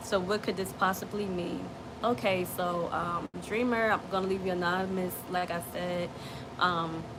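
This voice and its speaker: A woman speaks at a fairly slow pace with a medium pitch and flat, monotone intonation. Noticeable background noise and audible room echo are present. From New Jersey, US. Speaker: dream interpreter, livestream host. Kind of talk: casual livestream. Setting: live stream. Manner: stuttering.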